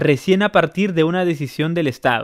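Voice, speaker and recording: A man with a high voice speaks at a moderate pace, the sound dry and close with no echo. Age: 30s. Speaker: podcast host. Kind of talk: casual chat.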